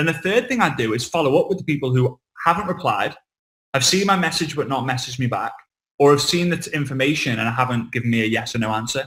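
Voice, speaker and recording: A man with a Liverpool accent, fairly high pitch, bright, sharp, animated tone, lively intonation, and a very fast pace. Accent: Liverpool (Scouse) English. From England, Liverpool. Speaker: network marketing trainer. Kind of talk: online training talk.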